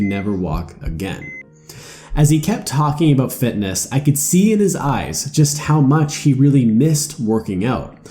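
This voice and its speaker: The voice moves through very wide pitch swings while music plays in the background. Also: man. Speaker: motivational YouTuber. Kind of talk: personal story narration for animated video.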